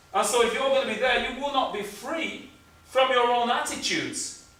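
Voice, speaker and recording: Against noticeable background noise and audible room echo, a man with an extremely high pitch talks at a moderate pace. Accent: Lancashire. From northern England, Blackburn, Lancashire. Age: 50s. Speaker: cultural engagement specialist. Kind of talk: talk to an audience at a book launch.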